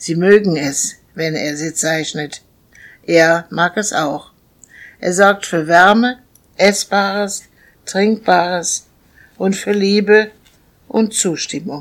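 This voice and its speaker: A woman's medium-pitched voice at a very slow pace, with long, frequent pauses and ordinary pitch variation, on a very clean recording with a silent background. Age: old. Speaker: podcaster. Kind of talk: reading aloud.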